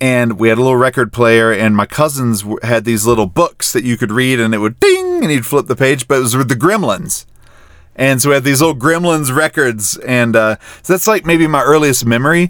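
A man with a plain, everyday voice speaks in an American accent at a medium pitch, with ordinary pitch variation and very even loudness. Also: fairly quick pace. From North Carolina (small town). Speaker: podcast host. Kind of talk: casual chat.

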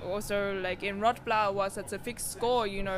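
Spoken in an Australian accent, the words come at a moderate speed with typical pitch movement. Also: woman. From Australia, Sydney. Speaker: musician, performer. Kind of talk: casual interview.

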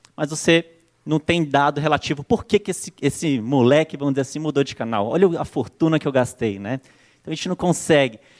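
In a very clean recording with a silent background and a dry, close sound with no echo, a man with a fairly high pitch and an animated tone speaks at a fairly quick pace with ordinary pitch variation. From Brazil, Brasília. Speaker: marketing consultant. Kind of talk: conference talk. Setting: stage with audience.

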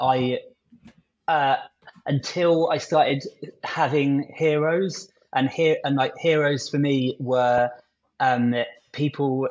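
Spoken very slowly, the words carry fairly even intonation. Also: man. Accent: southern English. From southern England, near London. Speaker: agency technical lead, AI guest. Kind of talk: interview conversation.

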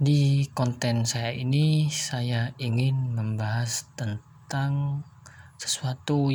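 Very slow and somewhat breathy, a man speaks at a medium pitch with monotone, flat intonation. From Indonesia, Jember (East Java). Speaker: podcaster. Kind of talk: solo monologue reading definitions. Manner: formal.

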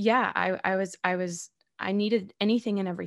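On a very clean recording with a silent background, a woman with an American accent speaks at a medium pitch with fairly even intonation, the sound dry and close with no echo. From New York. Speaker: actor and podcast host. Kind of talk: casual interview.

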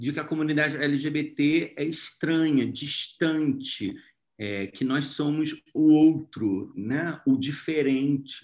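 A man's fairly high voice at a very slow pace, with ordinary pitch variation, in a very clean recording with a silent background. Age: 30s. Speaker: actor and screenwriter. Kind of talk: interview.

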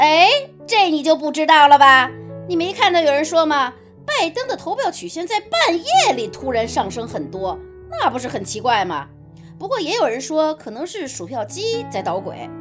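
Clear music plays in the background. Over it, a woman speaks at a high pitch and a moderate pace. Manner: stubborn, dismissive, opinionated.

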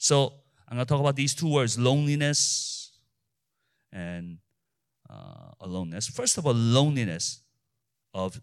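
Lively intonation runs through a man's speech at a moderate pace. The recording is very clean, with a silent background. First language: not English. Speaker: pastor. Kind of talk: sermon. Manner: halting.

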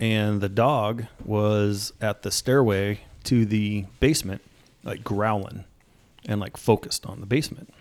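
A man with a normal speaking voice, fairly low pitch, fairly slow pace and fairly even intonation. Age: 40s. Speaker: corrections officer and tactical team member. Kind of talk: casual chat.

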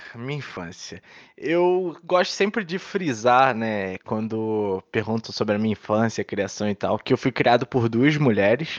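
A man with an unremarkable speaking voice talks at a fairly slow pace, his medium-pitched delivery carrying lively intonation over a quiet background. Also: dry, close sound with no echo. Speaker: podcast co-host. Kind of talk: casual chat.

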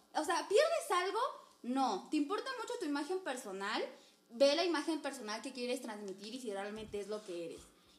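Here a woman with a Mexican accent talks in a high pitch, swinging very widely in pitch. Her loudness varies a lot. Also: moderate pace. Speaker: podcast host. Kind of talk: casual chat.

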